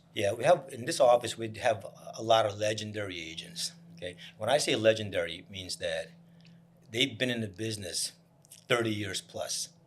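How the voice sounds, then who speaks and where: Speaking with an American accent at a moderate pace, a man of medium pitch shows ordinary pitch variation, big swings in loudness and long, frequent pauses over noticeable background noise. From New Jersey, Piscataway. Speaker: real estate broker. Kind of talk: casual chat.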